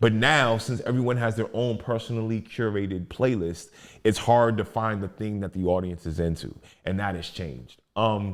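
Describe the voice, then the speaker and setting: Over a silent background in a very clean recording, a man with an American accent and a plain, everyday voice talks at a fairly low pitch with ordinary pitch variation. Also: moderate pace. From Maryland, Prince George's County (DC area). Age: 40s. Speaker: rapper, poet and educator. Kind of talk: podcast interview. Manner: conversational, frequent fillers and restarts.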